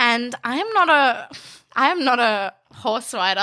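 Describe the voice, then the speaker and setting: A high-pitched woman in an Australian accent, bright, sharp tone, lively intonation, on a very clean recording with a silent background. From Bangladesh (Dhaka) until 10, then country New South Wales, Australia. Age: 20s. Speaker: fashion designer and law student. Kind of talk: casual interview chat.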